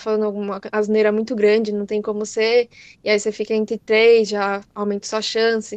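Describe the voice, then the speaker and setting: A woman's fairly high voice, flat and monotone, dry and close with no echo, over a quiet background. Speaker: chemistry teacher. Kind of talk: lecture. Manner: fast.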